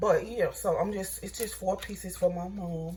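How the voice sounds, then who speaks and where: A woman with a Mississippi accent speaks in a space with audible room echo. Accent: Southern US (Mississippi). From US South, Mississippi. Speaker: home cooking vlogger. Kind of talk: cooking tutorial. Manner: casual, chatty.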